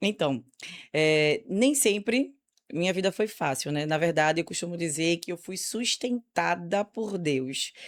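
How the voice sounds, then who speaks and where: A woman's fairly low voice, lively in intonation, at a fairly slow pace, on a very clean recording with a silent background. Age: 30s. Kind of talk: testimony.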